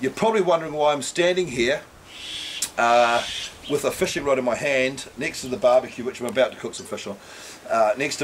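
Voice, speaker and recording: Against noticeable background noise, a man with a New Zealand accent talks at a fairly quick pace with lively intonation. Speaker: fishing charter operator. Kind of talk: fishing report. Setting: outdoors. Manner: casual.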